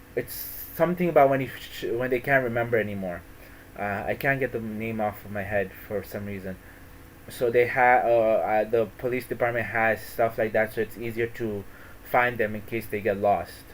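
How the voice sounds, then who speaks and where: A man speaks with an American accent at a moderate pace. His pitch is medium, with ordinary variation. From US East Coast / Florida. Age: 20s. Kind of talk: personal talk. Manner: halting, many fillers and restarts.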